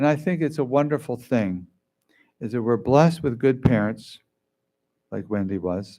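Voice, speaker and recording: A man's dark, mellow voice at medium pitch and moderate pace, lively in intonation with long, frequent pauses, on a very clean recording with a silent background. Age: 70s. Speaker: memorial service speaker. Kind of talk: eulogy. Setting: memorial service.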